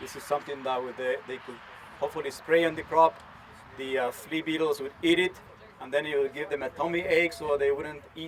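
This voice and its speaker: Spoken at a fairly quick pace with a Spanish accent, the voice has ordinary pitch variation and big swings in loudness over noticeable background noise. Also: man. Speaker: entomologist, research scientist. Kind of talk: conference talk. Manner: animated.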